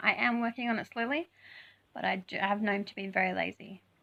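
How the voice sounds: A woman uses a put-on character voice that is raspy and hoarse at a medium pitch. She talks at a very fast pace with lively intonation.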